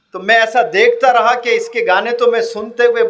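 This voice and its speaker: Ordinary pitch variation marks this man's extremely high voice. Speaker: motivational speaker. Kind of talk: motivational public lecture to students. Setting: on stage in front of a live audience.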